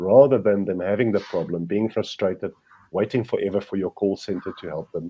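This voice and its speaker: A man's fairly low voice with a non-native accent, fairly quick pace and ordinary pitch variation. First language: not English. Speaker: professor and business consultant. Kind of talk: interview. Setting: podcast.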